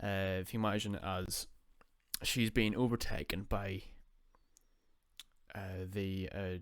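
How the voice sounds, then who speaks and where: Over a silent background in a very clean recording, a man talks at a very slow pace with a fairly low pitch and a flat, monotone delivery. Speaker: podcast host. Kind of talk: unscripted commentary. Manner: halting.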